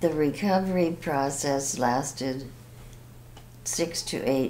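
A woman speaks at a very slow pace. Light background noise sits underneath. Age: 80s+. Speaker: heart surgery patient. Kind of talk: patient testimonial. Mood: calm, grateful. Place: office.

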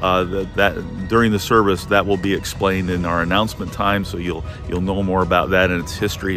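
A man speaks at a fairly quick pace in a very deep, low voice. Clear music plays in the background, and the sound is dry with no echo. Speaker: church pastor. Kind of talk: casual update then prayer. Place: open country. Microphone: phone near.

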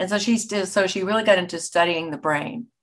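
A woman with an American accent, ordinary pitch variation and a moderate pace against a quiet background. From United States. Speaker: voice actor. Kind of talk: interview answer. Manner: casual, conversational. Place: home room. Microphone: webcam.

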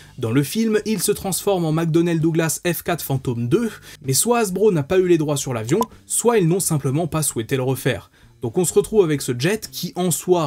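Here a man talks at a moderate pace with lively intonation. His tone is dark and mellow. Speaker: toy reviewer. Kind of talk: product review commentary.

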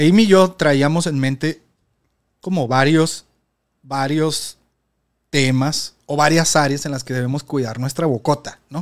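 A man with a fairly high pitch and ordinary pitch variation speaks at a fairly slow pace, with long, frequent pauses. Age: 30s. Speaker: podcast host. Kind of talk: casual chat.

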